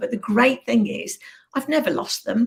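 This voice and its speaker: A woman with a Birmingham accent speaks with ordinary pitch variation. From Birmingham, English Midlands. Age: 60s. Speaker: business coach. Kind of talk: interview.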